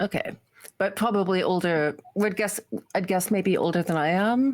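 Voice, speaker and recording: A woman with a plain, everyday voice at a medium pitch, ordinary pitch variation, very even loudness and a moderate pace. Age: 60s. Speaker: tabletop role-playing game player. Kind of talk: casual chat. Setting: live stream.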